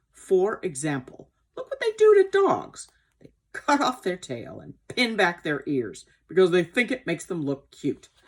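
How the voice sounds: A woman puts on a character voice, fairly low in pitch with a slightly husky edge. She goes fairly slowly, with very wide pitch swings.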